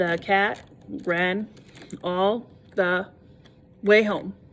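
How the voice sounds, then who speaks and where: A robotic, put-on character voice sounds female and sits at a medium pitch. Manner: flat, monotone, word by word.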